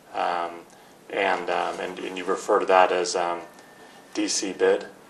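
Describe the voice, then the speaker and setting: Speaking at a fairly slow pace, a man talks. Audible room echo surrounds his voice. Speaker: defense attorney. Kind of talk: deposition questioning. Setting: conference room. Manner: halting, many fillers.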